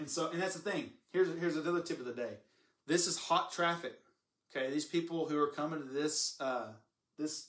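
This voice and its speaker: An American-accented man talks at a fairly quick pace with a fairly high pitch, an animated tone and ordinary pitch variation, but with long, frequent pauses. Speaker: marketing consultant. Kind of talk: live stream talk to viewers. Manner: fast.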